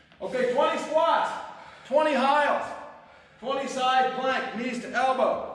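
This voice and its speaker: Big swings in loudness at a fairly slow pace, with long, frequent pauses, noticeable background noise and audible room echo. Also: man, extremely high pitch for a man. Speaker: fitness instructor. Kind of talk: workout class instruction. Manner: loud, yelling; energetic.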